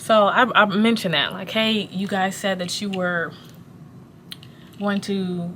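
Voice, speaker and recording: A woman speaks at a medium pitch and a fairly slow pace with fairly even intonation. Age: 20s. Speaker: pharmacist and manager. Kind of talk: casual vlog rant while working. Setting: at work in a pharmacy. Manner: pauses a lot.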